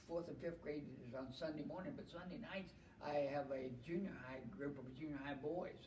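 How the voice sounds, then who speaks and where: Noticeable background noise and audible room echo surround a man with a fairly high voice who speaks at a moderate pace with fairly even intonation. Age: 70s. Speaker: retired heavy equipment operator, church volunteer. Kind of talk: casual chat.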